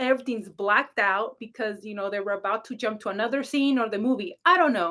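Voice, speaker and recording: Loud and animated, a woman speaks at a very fast pace with hardly any pauses, her fairly high voice bright and sharp with ordinary pitch variation. The recording is very clean, with a silent background. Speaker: psychic reader and spiritual coach. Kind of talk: casual livestream chat.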